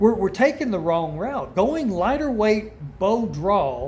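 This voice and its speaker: With audible room echo, a man speaks at a fairly slow pace using very wide pitch swings. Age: 60s. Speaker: archery hunter and video creator. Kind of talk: casual talk-to-camera tutorial. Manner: opinionated, emphatic.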